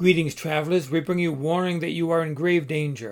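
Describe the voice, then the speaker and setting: The speaker uses a put-on character voice. The pace is fairly quick and the intonation fairly even. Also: man. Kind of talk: posh, formal.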